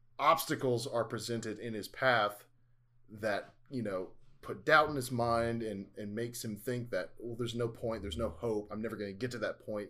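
A man talks at a moderate pace in an ordinary speaking voice. His pitch is medium. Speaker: podcast host. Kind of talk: casual chat.

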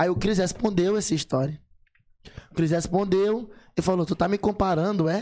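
A high-pitched man's voice with ordinary pitch variation, very even loudness, and long, frequent pauses. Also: moderate pace. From São Luís, Maranhão, Brazil. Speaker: rapper. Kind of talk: casual chat. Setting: studio.

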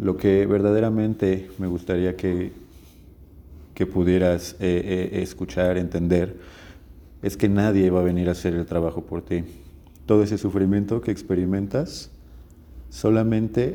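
Speaking at a fairly slow pace, a man with a very deep, low pitch and a dark, mellow tone uses ordinary pitch variation. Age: 30s. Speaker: podcast host. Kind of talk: solo monologue podcast. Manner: casual, with hesitations.

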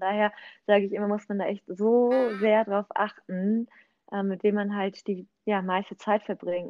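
A woman's unremarkable speaking voice, medium in pitch, with fairly even intonation. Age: 30s. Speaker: real estate agent and network marketer. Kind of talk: casual chat.

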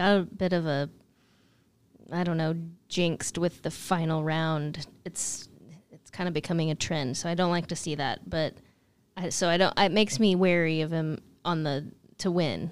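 A woman with an American accent and an ordinary speaking voice, fairly low-pitched, fairly slow and fairly even, in a very clean recording with a silent background. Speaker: co-host and amateur golfer. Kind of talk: casual chat.

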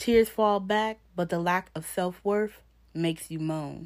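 An ordinary speaking voice moves at a fairly slow pace with ordinary pitch variation, captured in a very clean recording with a silent background. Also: woman. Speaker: poet. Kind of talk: spoken-word poem performed, confessional and rhythmic with rhyme. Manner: intense, emotional, delivered in a rhythmic cadence; raw and pained, with a defiant edge.

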